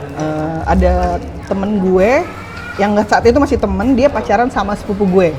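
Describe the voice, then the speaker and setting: Background music accompanies a woman at medium pitch. Her pace is moderate and her intonation lively. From Tangerang, Indonesia. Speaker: former radio announcer. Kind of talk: casual interview chat.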